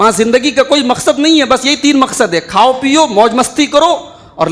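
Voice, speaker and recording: This man's voice has an extremely high pitch. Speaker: Islamic scholar delivering Friday sermon. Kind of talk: Friday sermon (khutba) to a congregation. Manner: passionate, oratorical, emphatic preaching.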